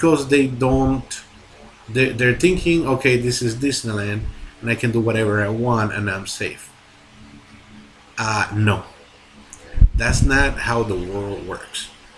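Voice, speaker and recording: This man talks at a fairly slow pace with a medium pitch, ordinary pitch variation, and long, frequent pauses. Noticeable background noise runs behind him. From Latin America. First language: Spanish. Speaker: movie reviewer. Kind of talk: video review monologue. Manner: halting, many fillers and restarts; animated.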